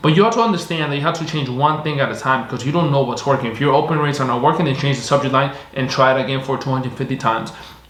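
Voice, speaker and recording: A man talks at a very fast pace with hardly any pauses, his voice fairly high and his pitch varying in an ordinary way. Audible room echo and noticeable background noise surround him. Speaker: online marketing agency owner / YouTuber. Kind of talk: tutorial. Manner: casual, repetitive filler phrasing.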